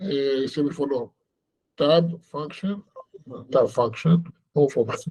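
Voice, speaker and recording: Speaking very slowly with a non-native accent, a man has a dark, mellow tone and ordinary pitch variation. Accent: foreign accent in Portuguese. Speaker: rabbi teaching online seminar. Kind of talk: online lecture. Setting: video call webinar. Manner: slow, deliberate; hesitant with many fillers.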